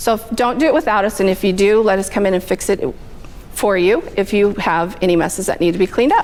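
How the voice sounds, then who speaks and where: With noticeable background noise behind her, a woman talks very fast at a medium pitch, her pitch varying in an ordinary way and her loudness very even. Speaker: bookkeeper. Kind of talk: business networking presentation.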